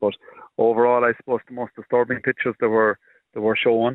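A man with an Irish accent speaks at a fairly quick pace. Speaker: farmer representative. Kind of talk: radio interview. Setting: phone call.

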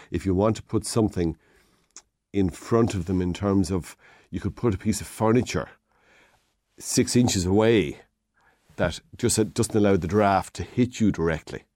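With long, frequent pauses, a man speaks at a fairly low pitch in a dark, mellow tone, his pitch varying in an ordinary way. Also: moderate pace. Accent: Irish Midlands. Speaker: hardware shop owner giving DIY advice. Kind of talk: radio phone-in advice.

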